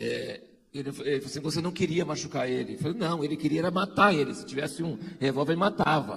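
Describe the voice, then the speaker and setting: Noticeable background noise runs under this clip. A man speaks very fast at a fairly high pitch. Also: ordinary pitch variation. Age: 60s. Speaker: pastor. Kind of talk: testimony.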